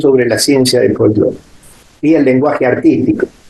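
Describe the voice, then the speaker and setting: A man is talking. His pitch is fairly high. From Argentina, Córdoba. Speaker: folk dance teacher and choreographer. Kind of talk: interview. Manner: hesitant, many fillers.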